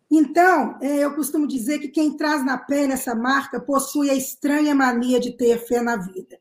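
A woman speaks fairly slowly, high in pitch and with fairly even intonation, leaving hardly any pauses. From Minas Gerais, Brazil (Sabará). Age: 50s. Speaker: actress. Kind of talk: panel discussion. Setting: online live stream.

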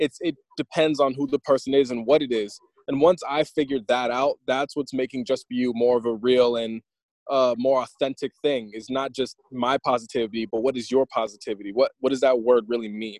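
A man with a plain, everyday voice talks at a fairly quick pace and medium pitch, his intonation fairly even, in a dry, close sound with no echo. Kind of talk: interview. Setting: video call.

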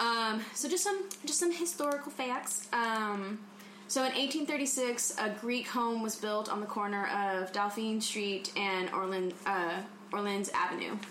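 Against noticeable background noise, a woman speaks at a fairly slow pace with fairly high pitch, lively intonation, and very even loudness. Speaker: podcast co-host. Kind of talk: casual chat.

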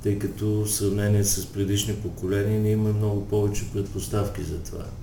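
The voice belongs to a man with a fairly low pitch. Audible room echo surrounds it. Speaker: sexologist and psychotherapist. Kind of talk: interview.

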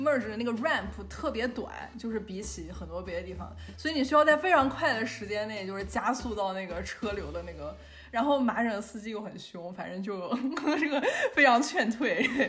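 Big swings in loudness at a moderate pace, with audible room echo. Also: woman. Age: young. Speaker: podcast co-host. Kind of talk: casual chat.

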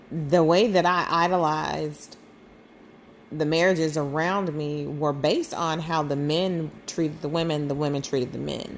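Her pitch is very deep and low, and her intonation fairly even. A woman talks at a moderate pace with audible room echo. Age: 40s. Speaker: podcast host. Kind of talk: personal monologue. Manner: halting.

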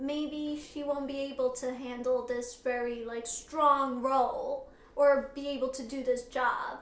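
Here is a woman with a high voice. She speaks at a fairly slow pace in a monotone, flat way. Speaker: podcast host. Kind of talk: casual interview chat. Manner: soft-spoken.

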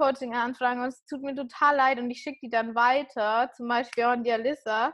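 Her high-pitched voice holds a fairly even intonation as the woman speaks. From rural Germany, small village. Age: 30s. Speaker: podcaster and fitness coach. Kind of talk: casual interview.

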